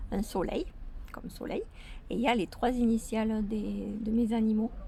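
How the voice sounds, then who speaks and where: Against noticeable background noise and audible room echo, a woman talks at a very slow pace. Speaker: vlogger. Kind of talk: casual vlog. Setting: outdoors in garden.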